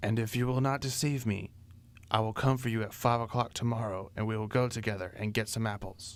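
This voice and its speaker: A man's put-on character voice, medium in pitch, at a fairly quick pace. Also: very clean recording, silent background. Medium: read story. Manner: sly.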